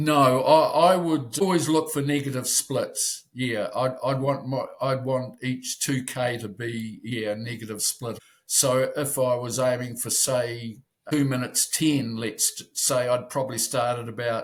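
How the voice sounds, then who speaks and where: Fairly slow and somewhat breathy, a man speaks with a New Zealand accent. His pitch is medium and his intonation fairly even. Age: 70s. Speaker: masters rower. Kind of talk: interview. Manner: halting.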